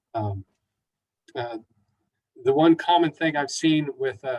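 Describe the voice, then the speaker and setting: A man speaks at a fairly slow pace with fairly even intonation and a somewhat breathy quality. The sound is dry and close, with no echo. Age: 60s. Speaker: mental health counselor. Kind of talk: webinar talk. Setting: online webinar. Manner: halting, many fillers.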